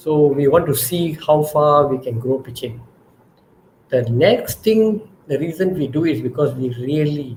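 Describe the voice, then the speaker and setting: A man speaks somewhat breathily. His pitch varies in an ordinary way. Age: 60s. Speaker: startup founder. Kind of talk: panel talk. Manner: repetitive, stammering starts.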